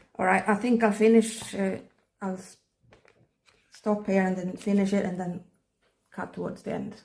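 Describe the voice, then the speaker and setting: A woman at a medium pitch, somewhat breathy and monotone with flat intonation, at a moderate pace with long, frequent pauses and big swings in loudness. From Sweden, countryside. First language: Swedish. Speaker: K-pop photocard collector, hobby vlogger. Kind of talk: casual hobby vlog, talking while sorting cards. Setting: at home, countryside. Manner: halting, searching for words.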